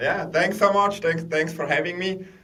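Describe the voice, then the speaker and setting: A man with a Swiss accent is heard with audible room echo. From Switzerland. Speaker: tech executive. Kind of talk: interview.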